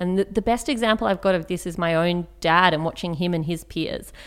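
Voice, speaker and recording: On a very clean recording with a silent background, a woman with an Australian accent speaks fairly quickly in a fairly low pitch with ordinary pitch variation. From Australia, Canberra. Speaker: writer and public speaker. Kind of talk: interview conversation.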